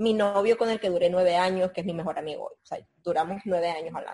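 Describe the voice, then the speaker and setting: At a very fast pace, a woman with a somewhat breathy voice speaks at a medium pitch with ordinary pitch variation. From Nicaragua. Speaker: former TV presenter, publicist. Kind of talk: interview, life story.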